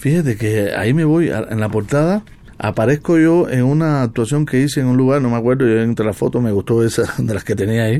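A man talks at a fairly quick pace and medium pitch. His loudness is very even, with ordinary pitch variation. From Cuba. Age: 60s. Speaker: jazz trumpeter. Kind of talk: radio interview. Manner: halting.

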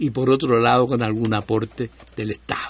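This is an unremarkable speaking voice from a man at medium pitch. He keeps a moderate pace. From Chile. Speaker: historian of public health. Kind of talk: casual chat.

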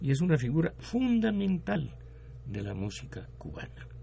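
A man's voice, fairly slow in tempo and ranging enormously in pitch. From Mexico, Guanajuato (left as child). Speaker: retired engineer and music promoter. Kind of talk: radio interview. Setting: radio studio.

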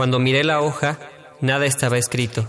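Fairly even in intonation, a man talks in a plain, everyday voice at medium pitch. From Mexico, Mexico City. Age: 20s. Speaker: poet. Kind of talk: poetry reading.

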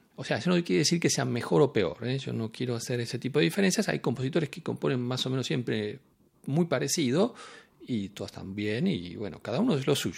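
The speaker talks at a fairly quick pace with vocal fry and very wide pitch swings, on a very clean recording with a silent background. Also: man. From Argentina. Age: 50s. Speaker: composer. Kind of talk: interview. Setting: in Nice, France.

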